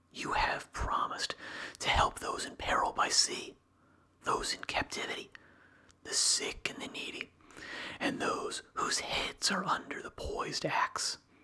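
A man whispers in a calm tone at a fairly slow pace, leaving long, frequent pauses. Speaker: ASMR reader. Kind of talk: ASMR whisper reading of a book. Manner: whispered, slow, soft and calm; even, measured and soothing. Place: home room. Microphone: studio mic.

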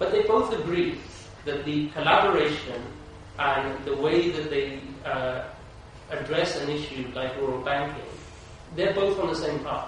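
In a room with strong echo and light background noise, a man speaks at a fairly high pitch. His pace is moderate. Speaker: panelist at a conference. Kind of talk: panel discussion answer. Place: hall.

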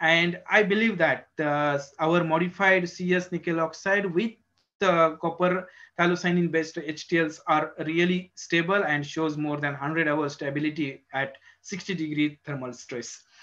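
The speaker uses an Indian accent at a moderate pace. The tone is bright and sharp, with ordinary pitch variation. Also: man. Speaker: research professor in solar cell materials. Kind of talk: technical lecture. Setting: video call. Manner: halting. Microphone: video call.

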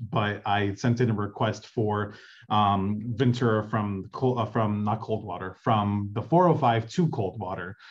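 Against a quiet background, a man with a fairly low pitch and ordinary pitch variation speaks at a very slow pace. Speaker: city council field deputy. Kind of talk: community meeting update. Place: home room. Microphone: video call.

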